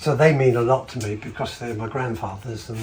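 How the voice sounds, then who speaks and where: With music in the background, a man at a medium pitch talks at a moderate pace in a relaxed tone, his intonation fairly even. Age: 70s. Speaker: retired woodworker. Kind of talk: interview answer. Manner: relaxed, hesitant.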